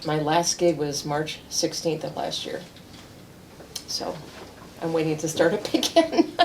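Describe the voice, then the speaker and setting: A woman's fairly low voice broken by long, frequent pauses, over noticeable background noise. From US East Coast and Midwest. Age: 70s. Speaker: local politician. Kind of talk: interview.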